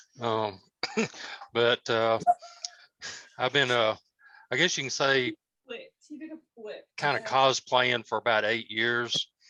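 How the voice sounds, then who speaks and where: Speaking very slowly with long, frequent pauses, a man with a Southern US accent keeps a medium pitch and a monotone, flat intonation in a dry, close recording with no echo. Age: 50s. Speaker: cosplayer. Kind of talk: casual talk. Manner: halting, many fillers.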